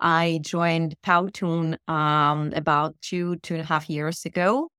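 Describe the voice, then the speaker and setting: Heard in a dry, close sound with no echo, a woman with a fairly low pitch speaks at a fairly slow pace. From Russia, St Petersburg. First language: Russian. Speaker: email marketing specialist. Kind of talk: casual interview. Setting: video call from a bomb shelter.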